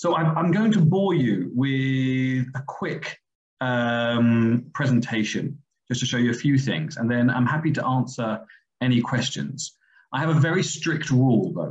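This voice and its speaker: A man's somewhat breathy, medium-pitched voice with an English accent, fairly slow in pace, with ordinary pitch variation. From England, London. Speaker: medical school vice dean and surgeon. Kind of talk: webinar presentation. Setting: video call.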